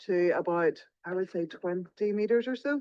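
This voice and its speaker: A woman with an Irish accent speaks at a medium pitch. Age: 50s. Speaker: paddleboarder vlogger. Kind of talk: on-the-spot vlog narration. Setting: outdoors on the sea.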